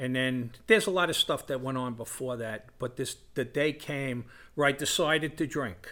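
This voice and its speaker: Bright and sharp in tone, a man with a New York accent speaks at medium pitch and a moderate pace, with ordinary pitch variation, on a very clean recording with a silent background. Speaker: recovering alcoholic, former firefighter. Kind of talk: testimony.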